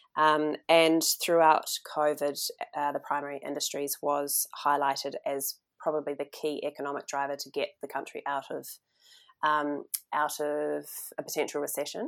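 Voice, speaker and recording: A New Zealand accent on a very clean recording against a silent background. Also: woman, moderate pace. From New Zealand, North Island. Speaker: journalist and farmer. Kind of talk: interview. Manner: hesitant, many fillers.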